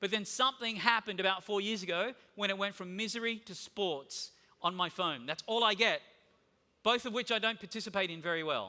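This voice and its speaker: An energetic man with an Australian accent projects his raised, high-pitched voice at a fairly quick pace, bright and sharp in tone with ordinary pitch variation. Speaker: conference keynote speaker. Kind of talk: conference keynote talk. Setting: stage with audience. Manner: casual.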